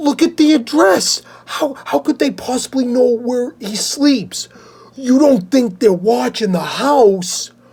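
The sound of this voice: In a put-on character voice, a woman speaks shakily at a high pitch and a fairly slow pace.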